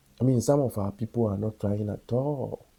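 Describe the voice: At a moderate pace, a man speaks with a dark, mellow tone, a slightly husky edge and vocal fry, at a medium pitch with ordinary pitch variation.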